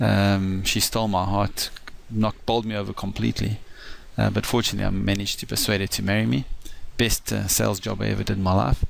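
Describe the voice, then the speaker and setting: A man speaks in a South African accent. He goes at a very fast pace. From South Africa, east coast. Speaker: financial advisor. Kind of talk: personal introduction talk. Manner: halting, many fillers.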